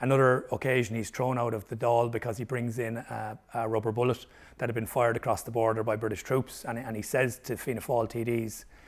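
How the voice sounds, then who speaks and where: With a Limerick accent, a man speaks fairly quickly in a medium pitch and a monotone, flat intonation. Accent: Irish (Limerick). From Ireland, Limerick. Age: 50s. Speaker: historian. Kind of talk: interview.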